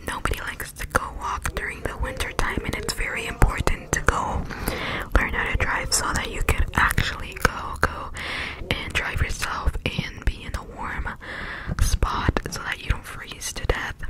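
Whispering, a woman speaks at a moderate pace. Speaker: ASMR creator. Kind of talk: ASMR whisper video. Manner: whispered. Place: home room. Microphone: studio mic.

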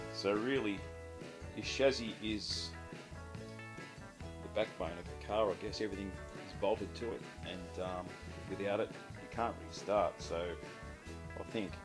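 With clear music in the background, a man talks at a fairly slow pace, leaving long, frequent pauses. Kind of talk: casual workshop walkthrough. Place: garage. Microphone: phone near.

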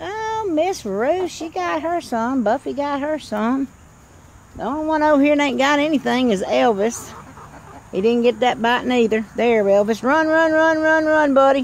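The recording carries light background noise and has a dry sound with no echo. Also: moderate pace. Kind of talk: casual vlog chat to chickens. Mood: playful, teasing. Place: garden. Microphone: phone near.

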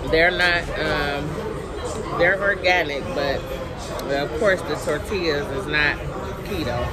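A woman speaks at a fairly slow pace. Loud background noise runs underneath. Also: ordinary pitch variation. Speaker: food vlogger. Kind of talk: casual mukbang chat. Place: cafe. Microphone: phone near.

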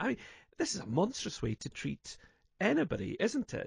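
Vocal fry marks a man's voice at a moderate pace, in a dry sound with no echo. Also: quiet background. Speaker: radio show host. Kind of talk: radio discussion commentary. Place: studio.

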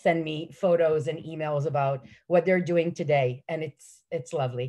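A woman with a very deep, low pitch speaks with fairly even intonation against a quiet background. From Israel. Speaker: early childhood educator. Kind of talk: panel talk. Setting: video call. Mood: warm, enthusiastic. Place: home room. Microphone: video call.

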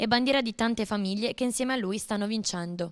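The speech comes very fast with ordinary pitch variation, dry and close with no echo against a quiet background. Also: woman. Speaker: TV reporter. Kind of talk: news report.

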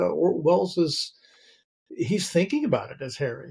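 A man speaks with an American accent. His voice is somewhat breathy against a quiet background. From North Carolina, US South. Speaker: theater professor and novelist; theater professor. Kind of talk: casual film discussion. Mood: relaxed, thoughtful. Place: home room.

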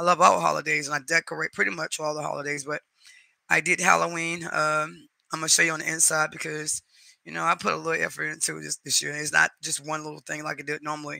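A man's very fast speech with big swings in loudness, dry sound with no echo and a quiet background. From North Carolina, US. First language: Spanish. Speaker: YouTube live streamer. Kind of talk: casual chat. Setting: live stream at home. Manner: warm, chatty. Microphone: headset.

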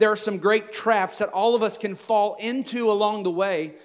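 A quiet background and a man's high voice with fairly even intonation. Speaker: pastor. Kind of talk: sermon. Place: church. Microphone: handheld.

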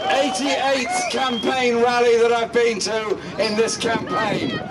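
A man is speaking. Loud background noise is heard. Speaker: party leader giving campaign speech. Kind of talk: campaign rally speech. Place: street.

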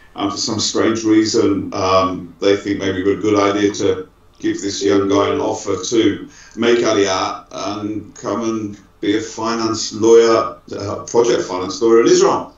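A man talks rather slowly, and the room around him echoes audibly. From Manchester, UK. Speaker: law firm managing partner. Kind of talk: interview conversation. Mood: relaxed, reflective. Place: office. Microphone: video call.

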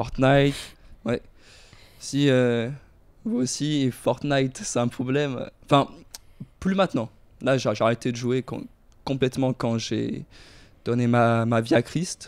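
Delivered at a very slow pace with long, frequent pauses, the voice keeps a fairly even intonation. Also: man. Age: young. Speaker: podcast guest. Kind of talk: casual chat. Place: home room. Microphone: handheld.

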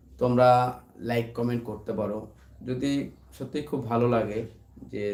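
Over audible room echo, a man speaks at a medium pitch in a monotone, flat intonation. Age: 30s. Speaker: YouTuber and barber. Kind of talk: casual live stream chat. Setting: late-night live stream at home.

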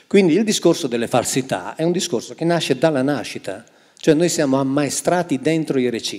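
Keeping a moderate pace, the man uses a fairly high pitch. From northwestern Italy, near France. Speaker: Bible translator and author; guest. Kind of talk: public talk on stage. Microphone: handheld.

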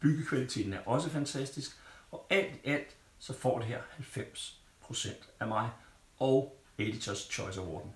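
Long, frequent pauses break up fairly slow, somewhat breathy speech with lively intonation. The room echo is audible. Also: man. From Denmark. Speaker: tech reviewer. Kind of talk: product review. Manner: casual, halting with fillers. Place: home room.

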